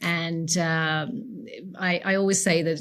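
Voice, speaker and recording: With an Irish accent, a woman speaks in a fairly low, somewhat breathy voice on a very clean recording with a silent background. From Ireland, County Leitrim. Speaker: realtor. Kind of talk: interview.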